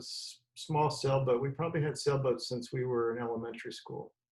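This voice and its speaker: This man has a fairly high pitch and a somewhat breathy voice. He talks at a moderate pace with an American accent. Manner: mumbling, words running together.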